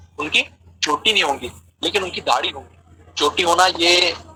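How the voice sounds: A man's fairly high-pitched voice with a bright, sharp tone, a husky, rough edge, ordinary pitch variation and a moderate pace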